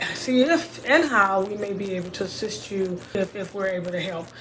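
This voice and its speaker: With music in the background and audible room echo, the voice shows ordinary pitch variation. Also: woman. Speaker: online business show host, foreclosure help. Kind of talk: direct-to-camera talk. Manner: casual, energetic.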